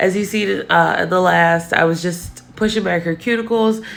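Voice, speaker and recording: Woman at a medium pitch with fairly even intonation over noticeable background noise. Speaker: nail technician. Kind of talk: tutorial. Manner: casual, many fillers.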